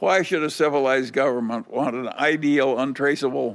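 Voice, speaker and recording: Speaking at a moderate pace, a man with a fairly high pitch shows vocal fry. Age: 80s+. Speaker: billionaire investor. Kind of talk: interview answer.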